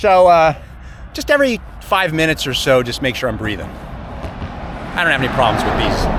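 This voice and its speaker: Speaking at a moderate pace, a man is heard against noticeable background noise. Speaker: cyclist. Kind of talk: casual chat.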